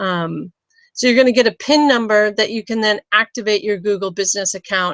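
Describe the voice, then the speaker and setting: Dry and close with no echo, a woman with an unremarkable speaking voice talks at a moderate pace in a medium pitch with ordinary pitch variation. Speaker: business consultant. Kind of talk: webinar tutorial.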